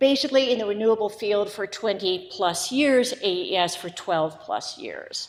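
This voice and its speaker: With hardly any pauses, a woman speaks at a moderate pace and medium pitch over noticeable background noise. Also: ordinary pitch variation. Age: 70s. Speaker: public commenter. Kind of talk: public comment at hearing. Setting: county commission meeting.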